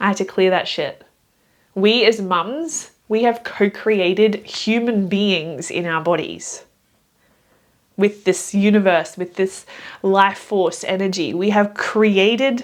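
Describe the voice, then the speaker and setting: Speaking very slowly, a woman keeps a medium pitch with ordinary pitch variation. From Germany. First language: German. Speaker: mindset and somatic coach. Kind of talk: motivational talk to camera. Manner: animated.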